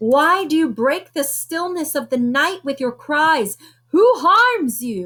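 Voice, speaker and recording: A woman speaks at a fairly slow pace in a put-on character voice. Her pitch is high. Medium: read story.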